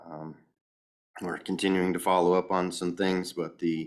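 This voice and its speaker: A man's very deep, low voice in a monotone, flat delivery, on a very clean recording with a silent background. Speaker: county department head. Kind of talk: meeting report.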